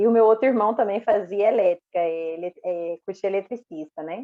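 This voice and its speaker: A woman with a Minas Gerais accent, moderate pace and lively intonation. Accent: mineiro. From Minas Gerais, Brazil (Uberaba). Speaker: electrical engineer. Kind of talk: interview.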